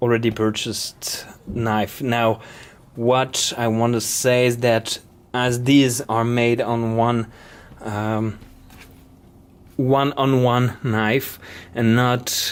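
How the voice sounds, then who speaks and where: A man speaks very slowly with a non-native accent. His pitch is medium and his intonation fairly even. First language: not English. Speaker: knife maker. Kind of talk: product explanation video. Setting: workshop. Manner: halting.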